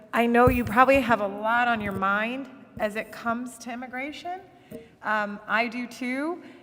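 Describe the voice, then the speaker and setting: In an American accent, a woman speaks at a moderate pace with a high pitch and ordinary pitch variation. Her loudness swings widely over noticeable background noise. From US Midwest, Akron, Ohio. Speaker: judge. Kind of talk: public talk. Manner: halting.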